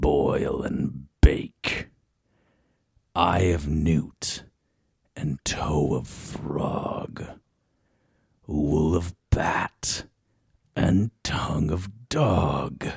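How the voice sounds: A man puts on a character voice with an extremely low pitch, a husky, rough edge, vocal fry and a slightly mellow tone, speaking at a very slow pace with long, frequent pauses. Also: ordinary pitch variation.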